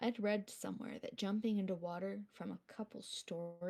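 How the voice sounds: The intonation is fairly even. The reading voice sounds natural.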